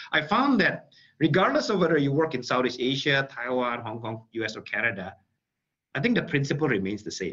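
This man has an Indonesian accent and a fairly high pitch with a bright, sharp tone. He speaks at a fairly quick pace with lively intonation over a quiet background. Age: 40s. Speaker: tech company executive; guest. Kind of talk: webinar talk. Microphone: video call.

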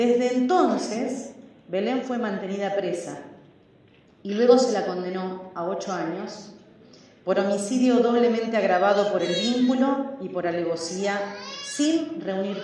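Recorded with strong room echo and light background noise, a woman talks at a fairly slow pace with ordinary pitch variation. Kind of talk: parliamentary speech. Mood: serious, denouncing. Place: hall. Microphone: podium.

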